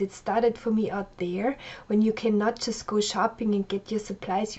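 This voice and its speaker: At a moderate pace, a woman with a German accent speaks at a medium pitch. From Austria. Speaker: life coach. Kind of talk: personal biography monologue. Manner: casual, with frequent fillers.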